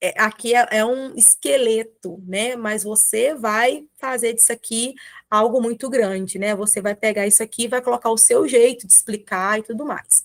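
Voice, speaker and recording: A woman with an ordinary speaking voice talks at a moderate pace with hardly any pauses, her pitch fairly high and intonation fairly even. The sound is dry and close with no echo. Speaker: children's ministry teacher. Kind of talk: tutorial.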